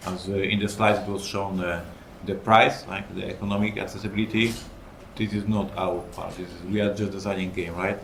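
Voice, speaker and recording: With audible room echo, a man with a fairly low pitch talks at a fairly quick pace in a flat monotone. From Poland. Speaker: game designer and publisher. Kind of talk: panel discussion.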